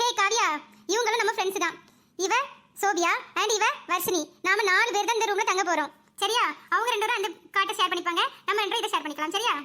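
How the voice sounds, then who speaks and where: A woman speaks in a cartoonish character voice with extremely high pitch and ordinary pitch variation. Her pace is fairly quick and her loudness stays very even. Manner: warm, brisk.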